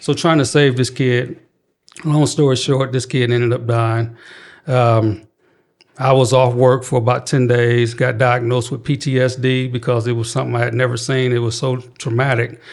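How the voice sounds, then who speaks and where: In a Southern US accent, a man talks at a moderate pace with a medium pitch and a monotone, flat intonation. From Mississippi. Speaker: youth crisis prevention worker. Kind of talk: interview. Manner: calm, even tone.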